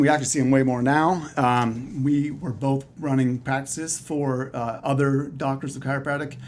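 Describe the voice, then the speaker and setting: A fairly high-pitched man talks at a moderate pace in a slight Canadian accent. His intonation is monotone and flat, with noticeable background noise. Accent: slight Canadian, sometimes heard as Texan. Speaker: chiropractor. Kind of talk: casual interview.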